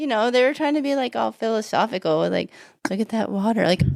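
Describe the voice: Someone is doing plain reading aloud. Nothing else is heard but the reading.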